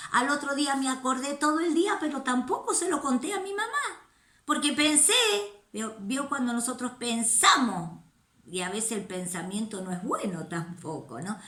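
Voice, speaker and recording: Raising and projecting her high voice, a woman talks at a moderate pace with very wide pitch swings, and room echo is audible. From Argentina (La Rioja). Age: 60s. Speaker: missionary. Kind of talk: testimony.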